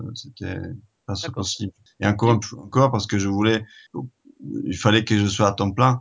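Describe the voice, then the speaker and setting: With long, frequent pauses, a man talks at a moderate pace in a fairly low pitch and fairly even intonation. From Italy. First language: Italian (speaking French). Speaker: board game distributor, company founder. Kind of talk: interview. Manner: hesitant, many fillers and repetitions.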